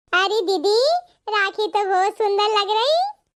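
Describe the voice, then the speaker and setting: A woman does a cartoonish character voice, squeaky and extremely high in pitch. She delivers it at a fairly slow pace. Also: fairly even intonation. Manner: polite, sweet.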